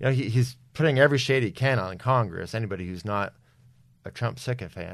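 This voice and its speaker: A man with an American accent talks at a very fast pace in a medium-pitched voice against a quiet background. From New Jersey. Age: 40s. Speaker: author. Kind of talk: podcast interview.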